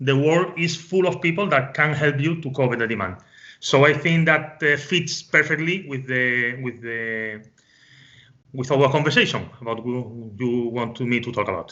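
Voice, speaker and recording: A man with a Spanish accent speaks at a fairly high pitch. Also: ordinary pitch variation, moderate pace. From Spain. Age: 40s. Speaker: business consultant. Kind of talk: interview. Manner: halting, with many fillers and repetitions.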